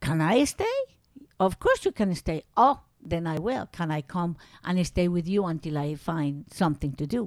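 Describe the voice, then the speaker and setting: In a very clean recording with a silent background, a woman with a Spanish accent speaks with lively intonation. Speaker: grandmother telling life story. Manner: halting, searching for words, amused, with grammatical slips and restarts.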